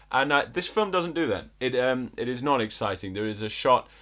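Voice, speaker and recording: A man's lively intonation with a slight northern English accent, in a very clean recording with a silent background. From northern England, Bolton. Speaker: film critic podcast host. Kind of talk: casual chat.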